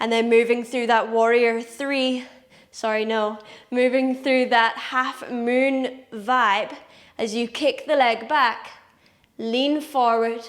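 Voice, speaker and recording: In a Scottish accent, a woman speaks at a very slow pace. Her pitch is high and her intonation monotone and flat. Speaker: yoga teacher. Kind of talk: guided yoga class instruction. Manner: calm, instructive.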